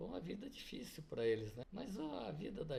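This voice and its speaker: The voice is somewhat breathy and moves at a moderate pace. Audible room echo surrounds it. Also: man. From Paraná, southern Brazil. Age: 70s. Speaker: business owner. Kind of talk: interview.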